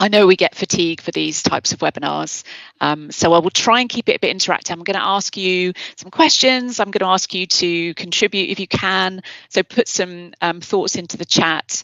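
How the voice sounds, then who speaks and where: With a British accent, a woman talks at a fairly quick pace. Her pitch is fairly low, with ordinary variation. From Britain. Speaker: publishing executive. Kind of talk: webinar presentation.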